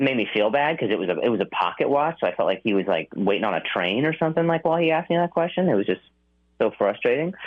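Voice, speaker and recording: Speaking at a very fast pace, a man makes very wide pitch swings. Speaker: stand-up comedian. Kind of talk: radio interview. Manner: halting, repeating words.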